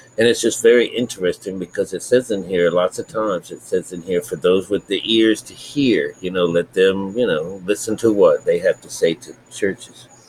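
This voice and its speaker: A man speaks quietly at a moderate pace with hardly any pauses. Noticeable background noise is present. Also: big swings in loudness. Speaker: spiritual teacher. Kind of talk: bible teaching. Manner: quiet, talking low.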